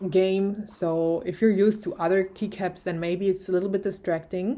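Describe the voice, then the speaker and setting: With a non-native accent, a woman speaks at medium pitch in a dark, mellow tone and fairly even intonation. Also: moderate pace. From Germany. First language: German. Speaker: tech YouTuber. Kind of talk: product review. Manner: hesitant, many fillers.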